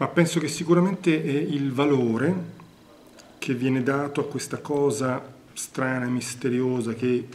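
Speaking fairly slowly, a man lets his pitch rise and fall in an ordinary way. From Naples, Italy. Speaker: theatre director and actor. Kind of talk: interview answer. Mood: reflective, earnest.

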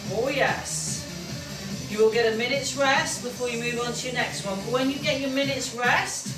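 Music plays in the background as a woman with a high pitch talks at a moderate pace with lively intonation. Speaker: fitness instructor. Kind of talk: exercise class instruction. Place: home room. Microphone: camera far.

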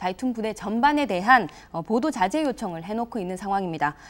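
Fairly quickly, a woman speaks in a fairly high voice. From South Korea. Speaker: TV news producer-reporter. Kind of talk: scripted narration. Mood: serious, measured. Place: studio. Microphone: lapel.

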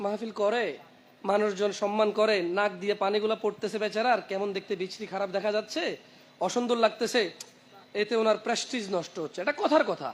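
This is a man's voice. His pitch is high. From Saudi Arabia. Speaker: Islamic preacher. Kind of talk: sermon.

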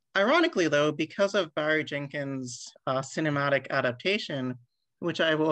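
At a moderate pace, the speech runs over a quiet background. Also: woman. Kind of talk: lecture. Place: home room. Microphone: webcam.

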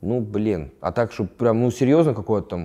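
Against a quiet background, a man talks at a fairly quick pace in a dark, mellow tone. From Moscow region, Russia. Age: 20s. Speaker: fighter; interviewee. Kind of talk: interview; interview answer. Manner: halting. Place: home room. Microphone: lapel.

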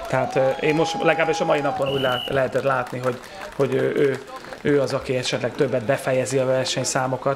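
Over crowd noise in the background, a man talks very fast in a flat monotone at very even loudness. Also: medium pitch for a man. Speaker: sports presenter. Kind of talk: sports video commentary.

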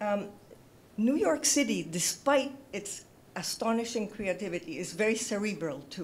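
A woman speaks at a moderate pace in a medium pitch, her voice somewhat breathy. Her pitch swings very widely. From Puerto Rico. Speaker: arts advisory commission chair; panelist. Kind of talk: panel discussion. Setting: stage with audience. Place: stage. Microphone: handheld.

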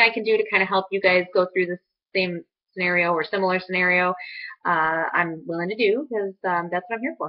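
Fairly even intonation at a fairly quick pace. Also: woman.

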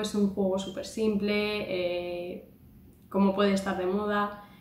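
A woman speaks at a very slow pace in a medium pitch with fairly even intonation. Audible room echo and light background noise sit behind her voice. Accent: Spanish. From Spain. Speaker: YouTuber. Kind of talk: vlog monologue. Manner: hesitant, many fillers. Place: home room. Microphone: phone near.

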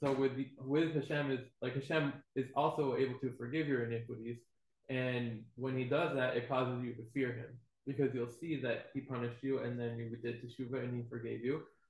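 A man talks at a moderate pace in a somewhat breathy voice. His intonation is monotone and flat, and room echo is audible. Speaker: student in a Torah class; class teacher. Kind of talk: class discussion. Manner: tentative, many fillers. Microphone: webcam.

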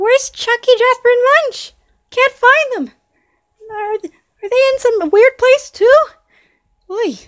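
In a cartoonish character voice, a female-sounding speaker talks at an extremely high pitch and fairly slow pace, leaving long, frequent pauses. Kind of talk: amateur cartoon character voice. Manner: puzzled, chatty, wondering aloud.

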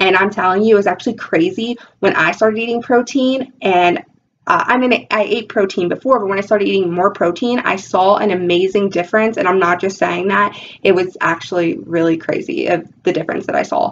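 With light background noise behind her, a woman talks at a fairly quick pace in an animated tone with lively intonation. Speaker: weight loss vlogger. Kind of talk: casual vlog tutorial. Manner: animated, talks with her hands. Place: home room. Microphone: webcam.

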